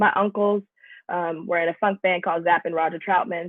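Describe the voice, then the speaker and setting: A woman with an American accent talks at a fairly quick pace. She has an ordinary speaking voice at a medium pitch. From Atlanta, US South. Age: 20s. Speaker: musician. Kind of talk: interview. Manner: casual.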